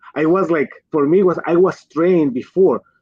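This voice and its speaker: A man with a strong Colombian accent, at a moderate pace. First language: Spanish. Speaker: physician and pharma executive. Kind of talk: livestream interview.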